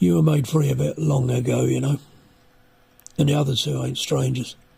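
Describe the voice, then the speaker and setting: A man puts on a raspy character voice. He keeps a medium pitch and a moderate pace. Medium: read story.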